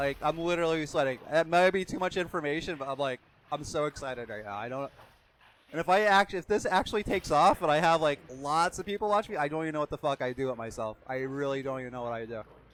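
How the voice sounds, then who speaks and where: Lively intonation and an animated tone mark this man's fairly high-pitched voice, delivered at a very fast pace. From Pennsylvania, US. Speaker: game streamer. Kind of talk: live gaming stream chat. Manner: loud.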